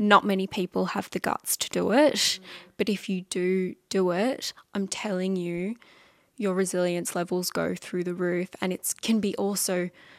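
A woman's normal speaking voice, medium in pitch with fairly even intonation, in a very clean, dry, close recording with no echo and a silent background. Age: 20s. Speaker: musician. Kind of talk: casual chat.

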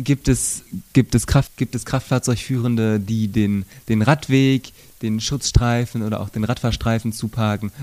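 In a dry, close sound with no echo and a very clean recording with a silent background, a man speaks at a fairly slow pace with medium pitch and fairly even intonation. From Sauerland, western Germany. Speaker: bicycle police officer. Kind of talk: interview. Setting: on-site recording at police station. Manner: halting, frequent word repetitions.

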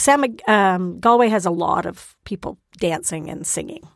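A normal speaking voice with lively intonation moves along at a moderate pace. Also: woman. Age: 60s. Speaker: guest discussing places she has lived. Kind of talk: casual chat.

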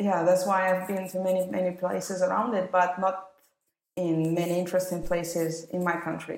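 A woman with a Russian accent speaks in monotone, flat intonation, with audible room echo. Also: medium pitch for a woman, moderate pace. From Russia, Moscow. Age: 30s. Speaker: wedding photographer. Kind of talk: interview.

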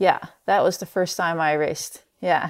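A woman in a Dutch accent at a fairly slow pace, on a very clean recording with a silent background. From Netherlands. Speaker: professional mountain bike racer. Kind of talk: interview.

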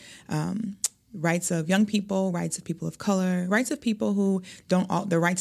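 A fairly low, somewhat breathy woman's voice with an American accent and ordinary pitch variation, on a very clean recording with a silent background. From Milwaukee, Wisconsin. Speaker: youth advocate and math teacher. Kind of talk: interview conversation.

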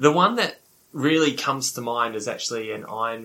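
A man with a New Zealand accent speaks at a medium pitch and moderate pace in a bright, sharp tone. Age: 40s. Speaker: professional triathlete and coach. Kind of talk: casual interview.

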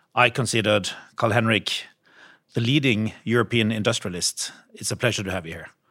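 A man with a plain, everyday voice speaks at a fairly quick pace and a fairly low pitch, with ordinary pitch variation and big swings in loudness. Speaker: podcast host, investment fund executive. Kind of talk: interview.

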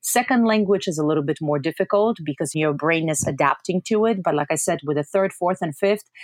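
Speaking with a Polish accent, a woman talks at a fairly quick pace and fairly low pitch, with ordinary pitch variation. The sound is dry and close with no echo, in a very clean recording with a silent background. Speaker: university language professor. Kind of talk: interview.

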